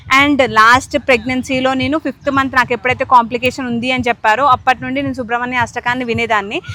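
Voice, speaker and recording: The voice holds fairly even intonation, with music in the background. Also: woman. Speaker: family vlogger. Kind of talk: casual vlog talk to camera. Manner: like a news reader.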